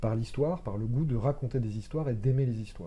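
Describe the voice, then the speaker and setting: A man talks fairly quickly in a dark, mellow tone that is somewhat breathy. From Lorraine, France (countryside near Metz). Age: 30s. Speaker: actor. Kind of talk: casual chat. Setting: live podcast studio. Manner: hesitant, many fillers.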